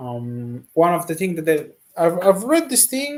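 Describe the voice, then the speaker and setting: Speaking in an Italian accent, a man lets his pitch swing very widely. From Italy. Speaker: painter and streamer. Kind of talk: casual live stream exploration. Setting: live stream with screen share. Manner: halting, many fillers; slow, relaxed.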